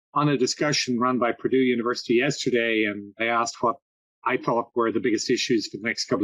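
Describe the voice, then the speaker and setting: A man with a slight Irish accent, medium pitch and a fairly quick pace. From Ireland. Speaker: agritech consultant and investor. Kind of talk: podcast interview.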